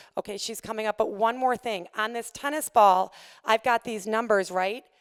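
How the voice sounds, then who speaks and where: Recorded very cleanly against a silent background, with a dry, close sound and no echo, a woman talks in a fairly high pitch with ordinary pitch variation. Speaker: fitness instructor. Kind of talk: presentation. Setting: stage with audience. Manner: fast.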